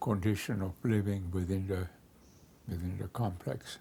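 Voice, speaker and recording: In a dark, mellow, somewhat breathy voice, a man talks very slowly. His intonation stays fairly even. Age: 80s+. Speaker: real estate developer. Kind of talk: interview monologue. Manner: halting, many fillers.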